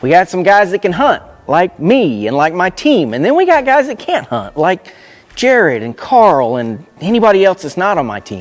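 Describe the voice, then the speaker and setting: Over noticeable background noise, a man with an American accent speaks at a moderate pace and a high pitch, his pitch swinging very widely. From Florida. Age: 40s. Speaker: hunting show host. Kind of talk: casual hunting show intro.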